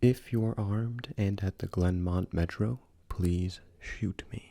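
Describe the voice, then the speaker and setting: This man's voice is somewhat breathy, dark and mellow, with a fairly low pitch and ordinary pitch variation. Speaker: ASMR creepypasta narrator. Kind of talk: casual intro to camera. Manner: soft-spoken.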